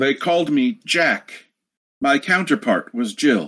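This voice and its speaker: A put-on character voice with a low-to-middle pitch moves at a fairly slow pace. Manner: muffled, matter-of-fact.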